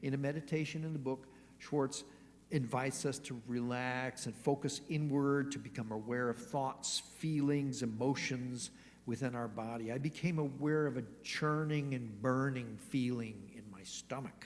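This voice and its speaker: Audible room echo surrounds a man at medium pitch. He speaks at a moderate pace with ordinary pitch variation. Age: 60s. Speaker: church lay leader. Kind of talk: sermon.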